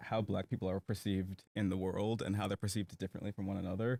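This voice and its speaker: With an American accent and a normal speaking voice, a man talks at a fairly quick pace and fairly low pitch, the sound dry and close with no echo and the recording very clean against a silent background. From United States. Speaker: podcast host. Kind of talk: casual chat.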